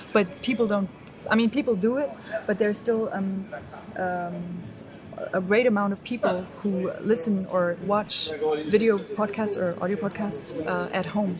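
A woman with a German accent talks at a fairly slow pace in a medium pitch with ordinary pitch variation, music playing in the background. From East Germany. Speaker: media studies graduate. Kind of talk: casual interview. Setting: restaurant in Berlin. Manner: hesitant, many fillers.

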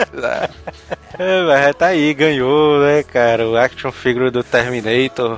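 With a strong Ceará accent, a man speaks very slowly at a fairly high pitch, his pitch varying in an ordinary way over noticeable background noise. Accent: strong northeastern Brazilian (Ceará). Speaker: podcast co-host. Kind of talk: casual chat.

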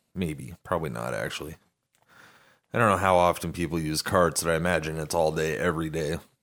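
A man speaks with a very deep, low pitch and vocal fry. His pitch variation is ordinary. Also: fairly quick pace. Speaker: podcast co-host. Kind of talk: casual comedic chat.

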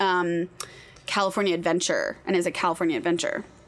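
A woman at medium pitch, talking at a very fast pace amid noticeable background noise. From Nashville, Tennessee. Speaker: nonprofit program director. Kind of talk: casual interview. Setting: camper studio.

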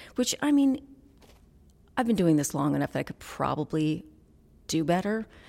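On a very clean recording with a silent background, a woman speaks in a dark, mellow tone marked by vocal fry. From Vermont. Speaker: independent podcaster and producer. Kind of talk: interview conversation. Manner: hesitant, reflective.

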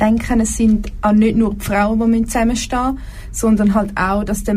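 A woman's fairly high voice is heard with audible room echo around it. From Zurich Oberland, Switzerland. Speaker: engineering student. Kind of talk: casual chat. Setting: studio.

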